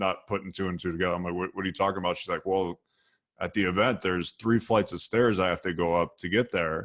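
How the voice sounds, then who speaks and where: A man's very deep, low voice with a Midwestern American accent, at a very fast pace, fairly even intonation, on a very clean recording with a silent background. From US Midwest, Ohio (Sandusky near Cleveland). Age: 30s. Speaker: copywriter and entrepreneur. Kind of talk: podcast interview. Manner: relaxed storytelling.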